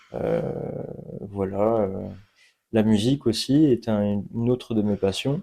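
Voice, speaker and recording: Over a quiet background, a man with a fairly low pitch and a dark, mellow tone speaks at a very slow pace with long, frequent pauses and fairly even intonation. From France, Poitiers area. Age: 20s. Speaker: apprentice youth sports worker. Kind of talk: radio interview. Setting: outdoor courtyard.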